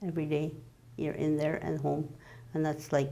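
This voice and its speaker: A woman's very deep, low voice with a dark, mellow tone and audible room echo. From Manitoba, Canada (First Nations community). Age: 60s. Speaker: cancer patient. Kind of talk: personal testimony interview. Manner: halting, conversational.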